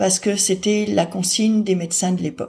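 A somewhat breathy woman at a fairly slow pace. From France. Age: 40s. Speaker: person with hydrocephalus sharing her story. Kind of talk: personal testimony narration.

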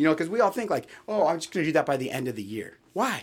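A man with an American accent at a very fast pace, with very wide pitch swings. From California. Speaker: podcast co-host. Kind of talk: casual chat.

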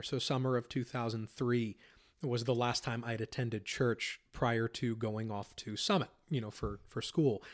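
A man with an American accent and a plain, everyday voice speaks at medium pitch and a moderate pace, recorded very cleanly against a silent background. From Pennsylvania. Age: 30s. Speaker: Bible school dean and theology professor. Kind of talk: interview testimony.

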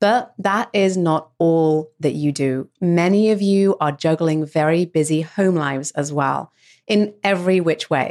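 A woman speaks in an ordinary speaking voice, fairly low in pitch, at a fairly slow pace with ordinary pitch variation and very even loudness. The recording is very clean with a silent background. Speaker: podcast host. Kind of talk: interview, conversational.

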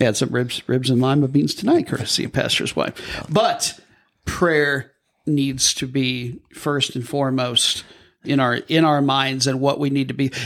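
Here is an ordinary speaking voice from a man with an American accent, fairly high in pitch. He speaks fairly slowly with fairly even intonation. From US Midwest. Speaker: podcast host. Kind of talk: casual chat.

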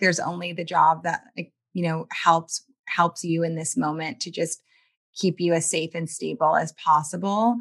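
With an American accent, a woman talks in a fairly low pitch with ordinary pitch variation, in an ordinary speaking voice over a quiet background. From US South, New Orleans, Louisiana. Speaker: writer and poet. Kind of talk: interview.

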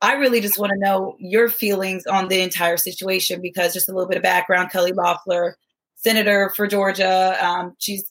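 At a fairly quick pace, a woman of medium pitch speaks in a plain, everyday voice. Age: 30s. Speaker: guest co-host, former basketball player and engineer. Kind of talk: casual interview chat.

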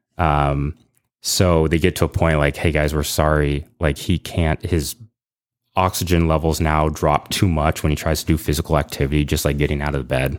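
In a very clean recording with a silent background, a man with an American accent speaks in a very deep, low, flat monotone with vocal fry and very even loudness. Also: moderate pace. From Northern California, East Bay. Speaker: bartender sharing a family COVID story. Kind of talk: personal story in a casual podcast chat.

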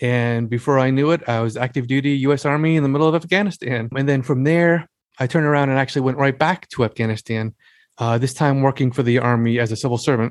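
A man's very fast American-accented speech, very even in loudness, with ordinary pitch variation and a dry, close sound with no echo. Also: medium pitch for a man. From US Northeast, Long Island, New York. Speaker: author and military veteran. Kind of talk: interview conversation.

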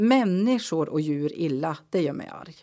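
In a very clean recording with a silent background, a woman with a normal speaking voice talks at a fairly slow pace with lively intonation. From Norrbotten, northern Sweden (Kalix). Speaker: local politician. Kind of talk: interview.

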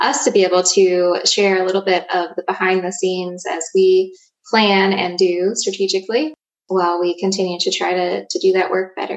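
A woman with an American accent at a moderate pace. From southern Virginia (Danville). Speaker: podcast host, economic development leader. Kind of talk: casual chat.

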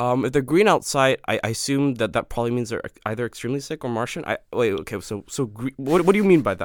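A man's medium-pitched, very fast delivery with lively intonation and hardly any pauses, dry and close with no echo, on a very clean recording with a silent background. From Malaysia, Kuala Lumpur. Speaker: student guest. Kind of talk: casual chat. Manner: animated.

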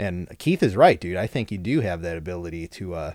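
In an unremarkable speaking voice, a man talks at a moderate pace with ordinary pitch variation. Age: 30s. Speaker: podcast host, municipal arborist. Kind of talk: casual interview chat. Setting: recording at home.

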